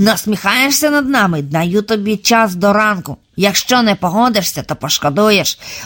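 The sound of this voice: The voice reading here is unforced.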